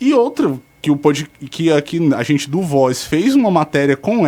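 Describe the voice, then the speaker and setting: A man with a normal speaking voice, fairly high in pitch, with lively intonation. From Fortaleza, Ceará, Brazil. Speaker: radio show contributor. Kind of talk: radio talk show segment.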